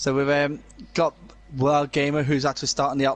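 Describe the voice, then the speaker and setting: A man speaks at a moderate pace in a Scouse accent. His pitch is fairly high, with noticeable background noise. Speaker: sim racing co-commentator. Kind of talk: live commentary.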